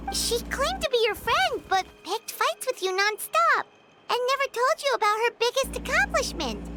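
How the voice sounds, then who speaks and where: A put-on character voice pitched extremely high. Faint music plays in the background. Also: moderate pace. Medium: video game. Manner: casual, friendly.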